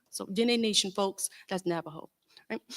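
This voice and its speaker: A woman talks at a moderate pace with a Southern US accent and ordinary pitch variation. The recording is very clean with a silent background and a dry, close sound with no echo. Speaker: panelist, activist. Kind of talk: panel talk. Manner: loud; hesitant, many fillers.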